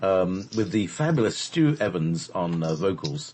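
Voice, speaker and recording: A man with an English accent speaks at a fairly slow pace. His somewhat breathy voice makes very wide pitch swings. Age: 50s. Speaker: radio host. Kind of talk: casual chat. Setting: live radio show. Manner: hesitant, many fillers.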